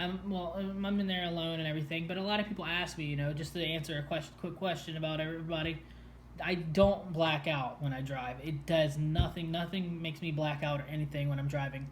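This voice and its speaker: A man with fairly high pitch and fairly even intonation talks at a fairly quick pace, with audible room echo. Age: 20s. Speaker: person with a brain condition telling his story. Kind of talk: casual chat. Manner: halting, many fillers.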